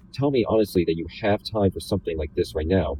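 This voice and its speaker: Somewhat breathy and very deep in pitch, a man speaks at a fairly quick pace. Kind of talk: read novel pages.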